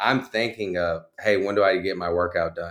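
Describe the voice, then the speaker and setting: Speaking at a fairly slow pace, a man with an American accent has a fairly low pitch and an unremarkable speaking voice. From Texas (Conroe). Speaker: marketing agency owner. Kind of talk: coaching session.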